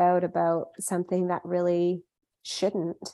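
Speaking in a Western Canadian accent, a woman with a dark, mellow tone and medium pitch talks at a fairly slow pace. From Canada, Vancouver. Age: 20s. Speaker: food company founder. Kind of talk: interview.

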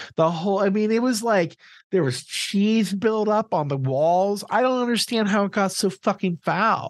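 This man has a high voice with ordinary pitch variation and a moderate pace. His loudness is very even, and the background is quiet. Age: 40s. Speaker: podcast co-host. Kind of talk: casual chat.

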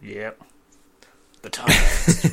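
Putting on a character voice, a man sounds raspy and gravelly.

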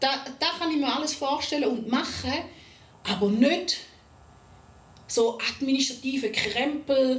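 A woman talks at a very slow pace with lively intonation and a Swiss accent. There is audible room echo and noticeable background noise. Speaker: podcast co-host. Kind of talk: casual chat. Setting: studio recording with cameras.

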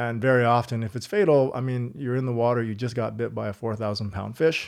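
Against a quiet background, a man with a Canadian accent speaks in an ordinary speaking voice at a medium pitch. His pace is fairly quick and his intonation fairly even. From Canada, Halifax, Nova Scotia. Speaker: stunt coordinator and director. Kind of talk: casual chat. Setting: home recording with drinks.

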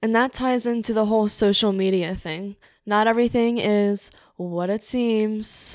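This is a plain, everyday voice with an American accent. The pace is fairly slow and the intonation fairly even. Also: woman, fairly high pitch for a woman. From New Jersey, Cape May. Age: 20s. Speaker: interior design worker. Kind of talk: casual chat.

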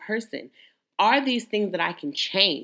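A woman speaks loudly in a bright, sharp tone. The recording is very clean with a silent background. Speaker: podcast host. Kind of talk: solo motivational monologue.

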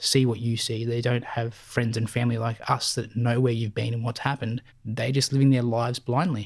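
A man with an Australian accent at medium pitch and a fairly quick pace, in a very clean recording with a silent background. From Melbourne southeast, Victoria, Australia. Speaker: war veteran. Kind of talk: interview testimony.

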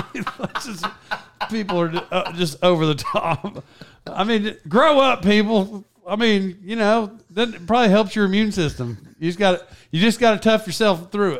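With an American accent, a man speaks at a high pitch and moderate pace, with ordinary pitch variation. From Oklahoma, US. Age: 40s. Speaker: podcast host. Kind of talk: casual chat.

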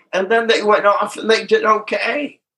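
Raising and projecting his voice, a man speaks at a moderate pace in a bright, sharp tone with ordinary pitch variation. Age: 80s+. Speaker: twelve-step speaker and sponsor. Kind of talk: recovery talk.

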